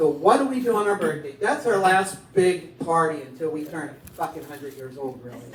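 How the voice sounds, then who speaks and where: Animated in tone, the speaker goes at a fairly quick pace with hardly any pauses over noticeable background noise. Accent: American. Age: 60s. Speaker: stand-up comedian. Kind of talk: stand-up.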